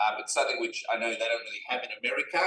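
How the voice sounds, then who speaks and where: A man speaks with an Australian accent. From Perth, Western Australia. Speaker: rabbi. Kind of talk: casual interview. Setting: restaurant, on camera.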